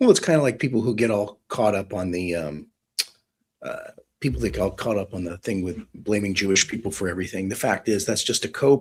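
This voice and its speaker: Heard in an American accent, an unremarkable speaking voice carries ordinary pitch variation. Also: man. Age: 50s. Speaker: retired police detective. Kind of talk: live online discussion. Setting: live audio space / stream.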